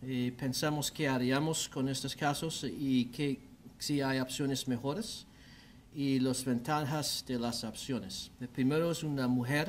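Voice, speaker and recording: With an American accent, a man speaks at a very slow pace and medium pitch, his intonation fairly even, on a very clean recording with a silent background. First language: English (speaking Spanish). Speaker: orthopedic surgeon. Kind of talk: medical lecture. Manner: halting, many fillers.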